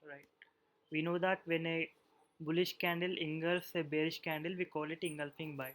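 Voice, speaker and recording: Here the pace stays moderate. The voice carries an Indian accent. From India, Hyderabad. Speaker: trading teacher. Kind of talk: online webinar lesson.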